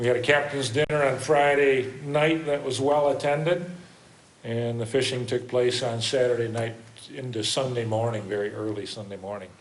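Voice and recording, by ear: A man talks with fairly even intonation, and strong room echo surrounds his voice. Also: medium pitch for a man, moderate pace.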